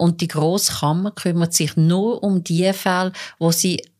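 In a very clean recording with a silent background, a woman talks fairly slowly at a fairly low pitch. It is a normal speaking voice, with fairly even intonation. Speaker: court reporter. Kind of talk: casual chat. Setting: studio.

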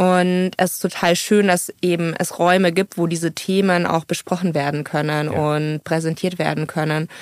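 A woman talks at a moderate pace with hardly any pauses, in a fairly low, monotone, flat voice at very even loudness. The recording is very clean, with a silent background. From Munich, Bavaria. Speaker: social entrepreneur. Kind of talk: interview. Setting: studio.

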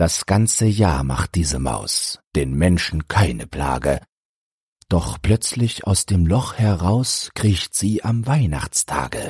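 In a dry, close recording with no echo, a man with a very deep, low pitch talks very slowly and somewhat breathily, keeping his loudness very even while his pitch swings very widely. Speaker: audiobook narrator. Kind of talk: poetry reading, audiobook-style verse read aloud. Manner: measured, rhythmic, storytelling cadence.

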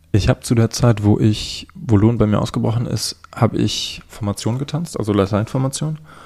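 Moderate pace and hardly any pauses from a man, medium in pitch, with ordinary pitch variation. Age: 20s. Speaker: young man with a rare eye disease, para alpine skier. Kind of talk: interview.

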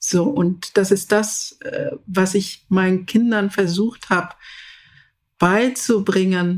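On a very clean recording with a silent background, a woman with a medium pitch and a somewhat breathy voice talks at a very slow pace, with fairly even intonation and long, frequent pauses. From Zambia, rural village until age 10, then Berlin. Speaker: leadership expert and project management director. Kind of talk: interview. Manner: hesitant, with many fillers.

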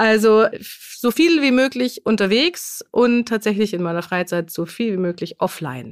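A woman's fairly high voice with very wide pitch swings, at a moderate pace, in a dry, close sound with no echo. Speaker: trade journalist and podcast co-host. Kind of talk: casual chat.

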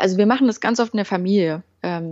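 A woman's unremarkable speaking voice at a medium pitch and a fairly quick pace. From eastern Germany, Halle an der Saale. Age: 20s. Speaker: communication workshop leader. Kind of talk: casual interview.

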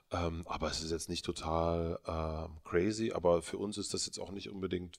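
On a very clean recording with a silent background, a man with a very deep, low pitch speaks with fairly even intonation. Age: 30s. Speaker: media entrepreneur. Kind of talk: interview. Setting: studio.

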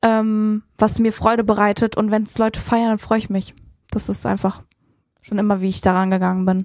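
On a very clean recording with a silent background, a woman talks at a moderate pace and medium pitch. Her intonation is monotone and flat. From Frankfurt, Germany. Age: 20s. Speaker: influencer. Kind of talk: casual chat.

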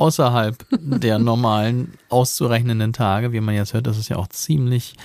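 A man's medium-pitched voice has a dark, mellow tone on a very clean recording with a silent background. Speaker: podcast co-host. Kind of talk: casual chat.

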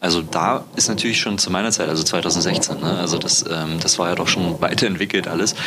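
Over noticeable background noise, a man with a very deep, low pitch talks at a fairly quick pace with hardly any pauses, fairly even intonation and very even loudness. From East Germany. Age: 20s. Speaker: podcast host. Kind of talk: casual interview chat. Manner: halting, many fillers.

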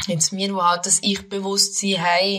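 Fairly slow speech from a woman with a medium-pitched voice. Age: 20s. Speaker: podcast co-host. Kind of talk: casual chat.

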